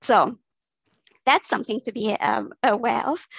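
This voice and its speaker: A woman with a fairly high pitch speaks at a moderate pace, with vocal fry and ordinary pitch variation. The sound is dry and close, with no echo. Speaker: research scientist. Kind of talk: interview.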